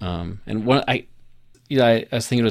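The recording is very clean, its background silent. A man talks very fast in an American accent, with ordinary pitch variation. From Colorado. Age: 40s. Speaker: podcast co-host, former missionary. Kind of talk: casual chat.

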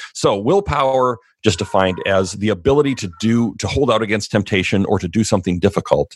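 A man's fairly low pitch and an ordinary speaking voice, fairly quick pace, ordinary pitch variation. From Canada. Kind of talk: casual chat, interview.

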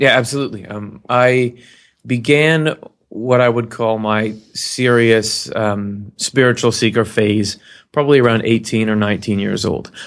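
This is a man with an ordinary speaking voice at a medium pitch. He talks at a fairly slow pace with fairly even intonation on a very clean recording with a silent background. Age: 30s. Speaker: webcast host on spirituality. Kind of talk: casual interview chat.

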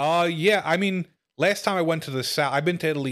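In a Brooklyn accent, a man talks at a fairly quick pace with ordinary pitch variation on a very clean recording with a silent background. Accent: New York (Brooklyn). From Brooklyn, New York. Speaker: comedian. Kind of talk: casual podcast chat. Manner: humorous, joking.

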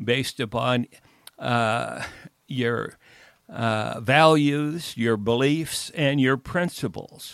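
The speech moves at a very slow pace with fairly even intonation. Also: man. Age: 90s. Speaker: retired college football coach. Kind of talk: interview. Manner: halting.

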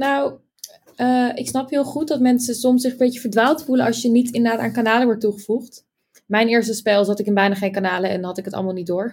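An unremarkable speaking voice at a fairly quick pace with ordinary pitch variation. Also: woman, fairly high pitch for a woman. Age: 20s. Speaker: game player. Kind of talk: casual chat.

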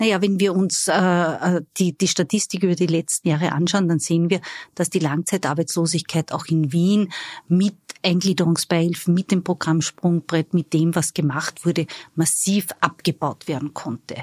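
A woman with a normal speaking voice talks at a moderate pace and fairly low pitch, with fairly even intonation and a dry, close sound with no echo. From Austria, Styria (Judenburg). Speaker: labour market agency executive. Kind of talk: interview.

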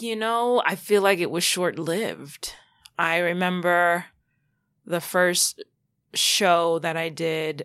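Here a woman speaks with a New York accent at a fairly low pitch and with ordinary pitch variation. The recording is very clean, with no background sound. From New York, Long Island. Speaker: TV producer and casting director. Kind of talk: interview.

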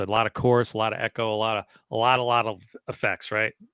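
Dry and close with no echo, the voice has a bright, sharp tone and moves at a fairly quick pace. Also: man. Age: 50s. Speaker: guitar show co-host. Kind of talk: casual chat. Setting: video call.

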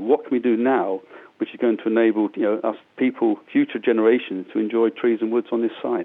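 Talking at a fairly quick pace, this man has a medium pitch and a plain, everyday voice.

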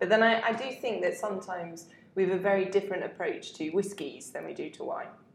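A woman's very fast speech with big swings in loudness, audible room echo and noticeable background noise. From southern England, Hampshire. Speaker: wine journalist. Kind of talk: casual chat.

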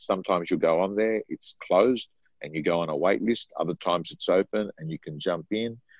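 A man speaks with an Australian accent. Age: 50s. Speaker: real estate trainer and coach. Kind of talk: interview.

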